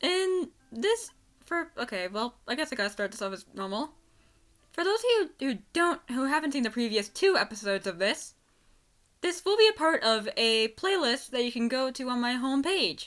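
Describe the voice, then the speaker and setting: On a very clean recording with a silent background, a woman speaks at a moderate pace in an excited tone, her high pitch making very wide swings. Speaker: voice actor. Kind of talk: casual unscripted fan commentary. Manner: stuttering, excited.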